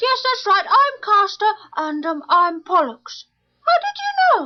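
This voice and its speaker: A woman's put-on character voice, squeaky and extremely high-pitched, with very wide pitch swings, big swings in loudness and a fairly slow pace. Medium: audio drama.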